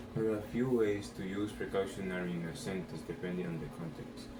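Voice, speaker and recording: Noticeable background noise and audible room echo accompany a man with a non-native accent, speaking at a moderate pace in a very deep, low pitch. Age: 18. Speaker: vlogger. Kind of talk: vocabulary practice, reading definitions aloud.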